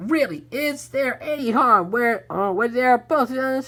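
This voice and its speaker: A woman's put-on character voice, high in pitch, with lively intonation at a fairly slow pace. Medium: read story.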